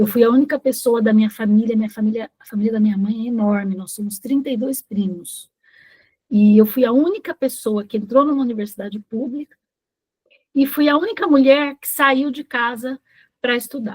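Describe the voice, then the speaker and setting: Pitch variation is ordinary and the pace is moderate. It is an ordinary speaking voice. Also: woman, fairly high pitch for a woman. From Brazil, interior of São Paulo state (Ribeirão Preto). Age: 60s. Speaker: retired bank employee, workshop participant. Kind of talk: reading aloud a personal life-story text.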